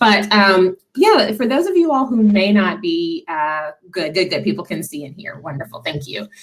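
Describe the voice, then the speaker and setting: A woman with a slight Southern US accent speaks at a moderate pace and medium pitch, somewhat breathy, with lively intonation, big swings in loudness and hardly any pauses. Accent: slight Southern twang. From Tennessee, Nashville. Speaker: diversity and inclusion nonprofit director. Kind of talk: webinar presentation. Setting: video call.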